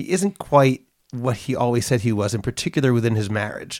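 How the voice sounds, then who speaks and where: An American-accented man talks at a moderate pace in an ordinary speaking voice, medium in pitch. The recording is very clean, with a silent background. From US, Boston. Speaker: podcast co-host. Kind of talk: casual teaching discussion; scripted announcement.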